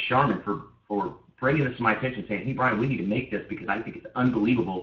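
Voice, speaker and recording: Here a man talks in an animated tone at medium pitch. His voice is somewhat breathy. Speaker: network marketing team leader. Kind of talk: conference call training. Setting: conference call. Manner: fast.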